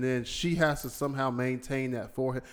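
A man at a very fast pace, fairly high in pitch. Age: 40s. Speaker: podcast host. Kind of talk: casual chat.

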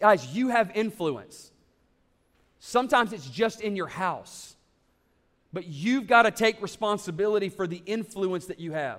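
A high-pitched man speaks at a moderate pace with lively intonation and long, frequent pauses. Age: 30s. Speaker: pastor. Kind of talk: sermon. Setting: church.

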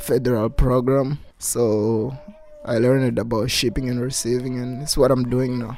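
With noticeable background noise behind him, a man at medium pitch speaks at a fairly slow pace in a monotone, flat delivery. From southern Mozambique. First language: Shitsoa and Portuguese. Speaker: spouse and father. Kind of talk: casual interview. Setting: at home with children.

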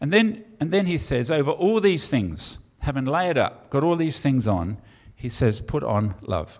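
A man with an English accent speaks at a moderate pace with lively intonation. The recording is very clean, with a silent background. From England. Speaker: pastor. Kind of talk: sermon. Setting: church with congregation.

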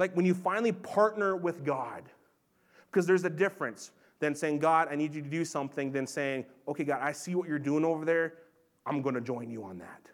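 Heard on a very clean recording with a silent background, a man with an American accent and an unremarkable speaking voice talks at a fairly quick pace and fairly high pitch, with ordinary pitch variation and big swings in loudness. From Montana, US. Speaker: pastor. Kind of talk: sermon. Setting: church.

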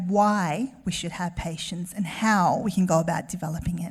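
In an Australian accent, a woman speaks. Her voice is somewhat breathy. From Melbourne, Australia. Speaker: guest preacher. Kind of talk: sermon. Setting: church with congregation.

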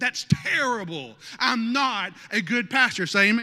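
Speaking fairly slowly in a Southern US accent, a man raises and projects an animated, extremely high-pitched voice. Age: 30s. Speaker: lead pastor. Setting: church sanctuary with live congregation. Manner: animated, punchy with frequent audience prompts like amen and okay; self-interrupting, restarting phrases with stumbles and chuckles.

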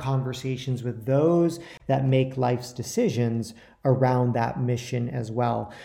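This voice has a dark, mellow tone and fairly even intonation, with audible room echo. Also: man. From New York. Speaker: podcast host. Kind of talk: interview; scripted introduction.

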